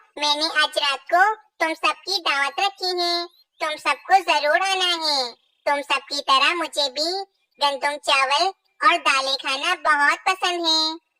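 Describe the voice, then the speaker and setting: In a cartoonish character voice, a female-sounding speaker talks squeakily at an extremely high pitch and a fairly slow pace. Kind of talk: children's cartoon acting. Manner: sweet, ingratiating.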